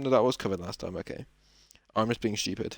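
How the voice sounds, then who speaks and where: Intonation from this man is lively. He goes at a very fast pace. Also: very clean recording, silent background. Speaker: podcast host. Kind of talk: casual solo podcast talk.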